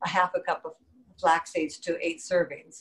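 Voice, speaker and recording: This is a woman speaking. Her pitch is fairly low. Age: 70s. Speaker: interviewee. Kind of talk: interview answer. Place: home room. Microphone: webcam.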